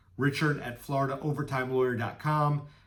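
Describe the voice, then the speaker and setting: Delivered at a fairly quick pace with monotone, flat intonation, the speech has audible room echo. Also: man. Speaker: employment lawyer. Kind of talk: informational talk to camera. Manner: fast.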